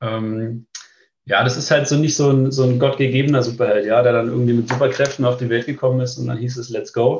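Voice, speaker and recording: A man talks at a fairly quick pace in a medium pitch. His voice is somewhat breathy, with monotone, flat intonation. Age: 30s. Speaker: business start-up consultant for tax firms. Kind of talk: casual interview. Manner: hesitant, many filler sounds.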